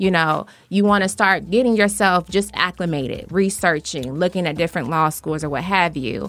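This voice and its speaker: Hardly pausing, a woman speaks at a fairly low pitch with ordinary pitch variation. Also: moderate pace. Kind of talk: casual radio interview chat, conversational and personal. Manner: warm, animated, laughing easily, chatty.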